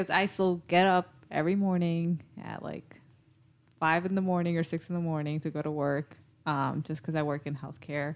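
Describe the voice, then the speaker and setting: The recording is very clean with a silent background, and a woman speaks in an ordinary speaking voice at a moderate pace. Her pitch is fairly low and her intonation fairly even. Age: 20s. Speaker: podcast host, radiation therapist. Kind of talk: casual chat.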